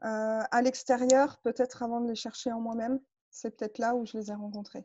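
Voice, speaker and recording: A woman speaks at a fairly high pitch and a moderate pace. Her intonation stays monotone and flat. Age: 30s. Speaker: coaching client. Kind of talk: personal testimony interview. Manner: hesitant, many fillers.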